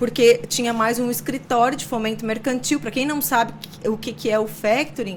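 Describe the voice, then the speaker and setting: Over noticeable background noise, a woman talks at a moderate pace, her fairly high voice showing ordinary pitch variation. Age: 40s. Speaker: entrepreneur. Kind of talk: interview.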